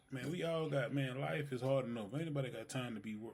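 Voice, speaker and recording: This man speaks in a mid-range pitch that moves up and down by a typical amount, with some breathiness to it. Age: 30s. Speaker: podcast co-host. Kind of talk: casual chat.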